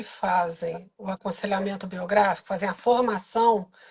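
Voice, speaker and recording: A woman talks fairly slowly in an ordinary speaking voice, her intonation fairly even. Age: 60s. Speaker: biographical counselor and course coordinator. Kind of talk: live stream interview.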